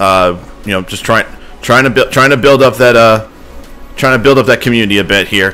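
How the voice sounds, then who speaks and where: Music plays in the background as a man talks at a fairly quick pace. His medium-pitched voice keeps fairly even intonation. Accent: American. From Ohio, US Midwest. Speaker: gaming streamer. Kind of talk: live game stream chat. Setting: live stream at home computer. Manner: loud.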